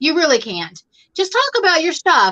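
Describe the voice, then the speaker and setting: A woman with a slight Southern American accent uses a raised, projected voice and lively intonation over a quiet background. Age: 50s. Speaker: crochet YouTuber. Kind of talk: casual chat. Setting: live stream.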